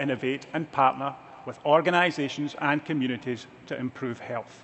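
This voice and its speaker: The man's speech shows ordinary pitch variation and keeps a moderate pace. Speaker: healthcare executive. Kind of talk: keynote speech. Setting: stage with audience. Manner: dry humor. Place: stage.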